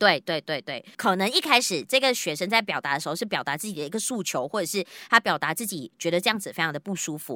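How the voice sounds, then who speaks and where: Very fast and with hardly any pauses, a woman speaks in a bright, sharp tone at a medium pitch. Her pitch swings very widely on a very clean recording with a silent background. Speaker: podcast host. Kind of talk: casual chat.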